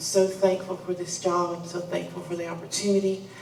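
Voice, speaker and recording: With a Southern US accent, the speaker goes at a moderate pace amid noticeable background noise and audible room echo. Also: woman. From Arkansas, US South. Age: 20s. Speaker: employee. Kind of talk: prepared speech.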